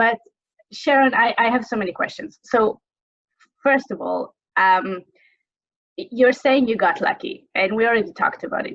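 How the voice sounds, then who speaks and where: A woman with an Israeli accent speaks at a high pitch and a moderate pace, with very wide pitch swings and long, frequent pauses. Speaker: webinar host. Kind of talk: interview. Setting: video call.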